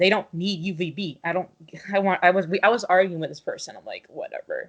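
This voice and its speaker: The woman has a medium-pitched voice. Her pace is moderate and her pitch variation ordinary. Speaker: reptile keeper. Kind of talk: casual chat. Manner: halting.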